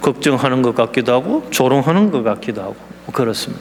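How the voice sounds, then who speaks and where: A man with a Gyeongsang accent at a medium pitch and fairly quick pace, amid noticeable background noise. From South Korea, Gyeongsang (Daegu). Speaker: missionary. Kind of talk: sermon. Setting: church.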